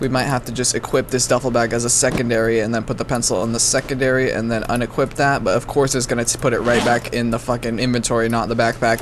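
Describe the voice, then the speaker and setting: Over music in the background, a man talks at a very fast pace in a medium pitch with monotone, flat intonation. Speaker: gaming YouTuber. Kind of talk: gameplay commentary. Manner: casual, stumbling with self-corrections.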